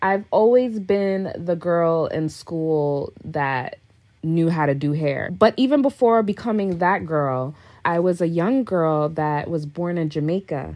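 With a plain, everyday voice, a woman speaks at a fairly slow pace, fairly low in pitch, with lively intonation. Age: 30s. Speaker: celebrity hairstylist. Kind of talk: interview.

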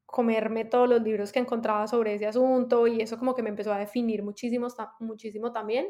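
Her intonation stays monotone and flat as this woman talks at a fairly high pitch. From Colombia, Medellín, raised in US. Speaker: writer and lawyer. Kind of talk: casual interview.

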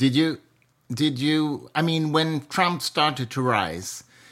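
This man talks at a very slow pace with a Swedish accent. The recording is very clean and the background silent. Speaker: podcast host. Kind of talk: interview.

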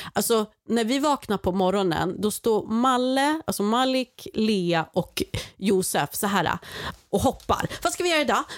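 A woman with a fairly high voice speaks fairly slowly in an animated tone, her pitch swinging very widely while her loudness stays very even, in a dry, close recording with no echo. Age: 30s. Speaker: guest aunt filling in for host. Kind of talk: casual chat.

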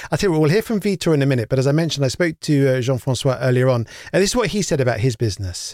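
Very fast and in a British accent, a man with a fairly high pitch talks with lively intonation and very even loudness, the sound dry and close with no echo. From UK. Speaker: podcast host. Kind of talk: moderated round-table interview. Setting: remote video call.

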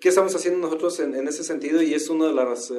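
A voice with a Mexican accent, with audible room echo. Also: man. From Mexico, rural farming area. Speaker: agribusiness executive, agronomist. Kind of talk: interview. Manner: hesitant with frequent fillers.

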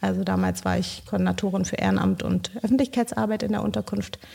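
On a very clean recording, a woman's voice comes through against a silent background. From Bolivia. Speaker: social project leader. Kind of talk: interview.

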